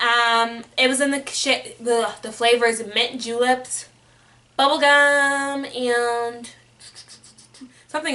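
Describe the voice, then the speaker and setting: A woman speaks in a high voice with a bright, sharp tone. Her intonation stays fairly even. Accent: American. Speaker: beauty vlogger. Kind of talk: casual product review vlog. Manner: rambling.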